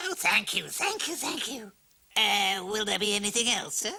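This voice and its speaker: A female-sounding put-on character voice, fairly high in pitch, at a moderate pace. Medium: short film. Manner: quick, wry, ingratiating.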